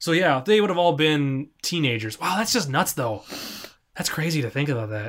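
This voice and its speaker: A man speaks in a plain, everyday voice, pitched fairly high. His pace is moderate and his intonation lively. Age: 20s. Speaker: podcast host. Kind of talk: casual chat.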